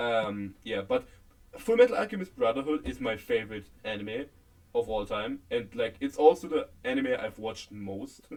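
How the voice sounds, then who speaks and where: A man speaks with a German accent. His pace is moderate. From Germany. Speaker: podcast co-host. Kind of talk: casual chat. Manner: halting.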